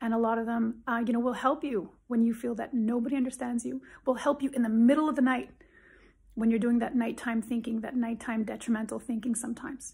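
A woman speaks at a very fast pace, her pitch fairly high and her intonation flat and monotone. The background is quiet. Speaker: psychologist. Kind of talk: direct-to-camera advice video. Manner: emphatic. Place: home room. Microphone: phone near.

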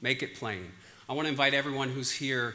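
At a fairly quick pace, a man with an American accent speaks in a bright, sharp tone at a medium pitch with fairly even intonation. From Pennsylvania. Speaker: conference organizer, physician. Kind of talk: conference opening remarks. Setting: stage with audience. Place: hall. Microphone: lapel.

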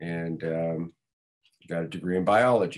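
In an American accent, a man with a very deep, low pitch speaks at a fairly slow pace over a quiet background. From California, Los Angeles area; California. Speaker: stuntman; podcast guest. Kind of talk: interview. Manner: halting, many fillers. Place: home room. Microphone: video call.

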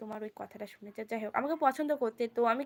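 A woman's voice with ordinary pitch variation. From West Bengal, Nadia district (Karimpur). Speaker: live-streaming YouTuber. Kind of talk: casual live-stream chat reading comments.

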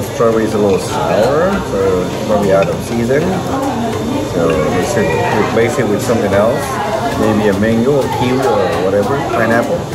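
Loud noise fills the background as a man talks fairly quickly, his pitch moving in an ordinary way. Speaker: vlogger reviewing food. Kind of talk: casual food review chat. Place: cafe. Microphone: phone near.

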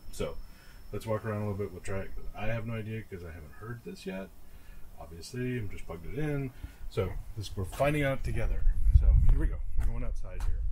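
A man speaks at a very fast pace and a fairly low pitch. His loudness swings widely over light background noise. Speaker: vlogger testing a mic. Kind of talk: casual vlog chat. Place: home room.

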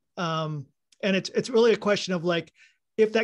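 Man with an American accent, high pitch, ordinary pitch variation and a quiet background. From Texas. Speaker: audience member asking a question. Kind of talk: Q&A question. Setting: video call. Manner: casual, hesitant. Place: home room. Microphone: video call.

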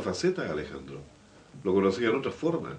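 The intonation here is lively. It comes from a man. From Biobío, Chile. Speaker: local radio/TV program host; local radio, TV program host. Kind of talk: interview talk show. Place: studio.

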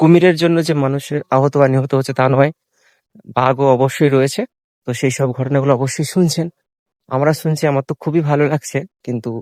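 A man with a fairly high pitch and fairly even intonation speaks in a plain, everyday voice, recorded very cleanly with a silent background. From Sundarbans, West Bengal. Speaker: travel vlogger. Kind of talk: vlog narration. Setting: outdoors.

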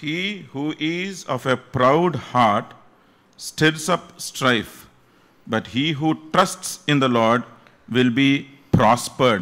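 Bright and sharp in tone, a man speaks with ordinary pitch variation. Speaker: preacher. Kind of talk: sermon with line-by-line Telugu interpretation. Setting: church. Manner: mixes English and Telugu. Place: church. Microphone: podium.

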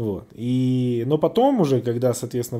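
The tone is dark and mellow. Pitch variation is ordinary. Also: man. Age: 30s. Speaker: MMA blogger. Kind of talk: casual podcast monologue. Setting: Telegram voice stream. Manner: casual, profane. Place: hall.

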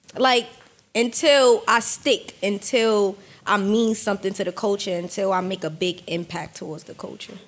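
A woman speaks in a New York accent at a moderate pace. Her pitch varies in an ordinary way, while her loudness swings widely. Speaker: rapper; podcast guest. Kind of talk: casual chat. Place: studio. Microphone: studio mic.

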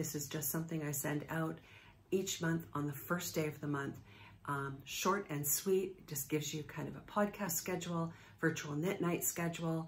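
Somewhat breathy, a woman speaks at a very deep, low pitch with fairly even intonation. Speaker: knitting podcast host. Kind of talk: casual vlog chat. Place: home room. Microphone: phone near.

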